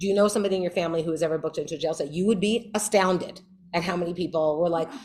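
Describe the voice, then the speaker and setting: A woman talks at a very fast pace with a New York accent. Her pitch is fairly low, with fairly even intonation. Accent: New York, noticeable. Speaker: criminal justice advocate, former public defender. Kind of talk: Q&A talk at a meeting.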